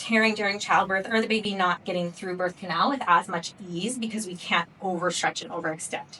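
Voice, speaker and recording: A woman with an American accent speaks at a fairly quick pace in a medium pitch, with ordinary pitch variation and noticeable background noise. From US Pacific Northwest, Seattle. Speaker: pelvic floor physical therapist. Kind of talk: workshop lecture. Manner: casual, conversational.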